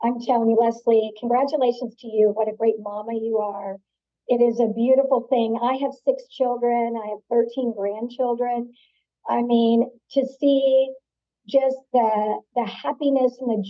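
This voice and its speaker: A woman speaks fairly slowly in a monotone, flat delivery at a fairly high pitch. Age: 60s. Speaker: entrepreneur. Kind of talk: interview.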